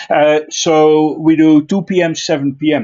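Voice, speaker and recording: A man with a Dutch accent talks at a fairly high pitch. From Netherlands, Friesland. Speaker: IT trainer. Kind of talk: online technical class. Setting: online video class. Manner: frequent filler uh.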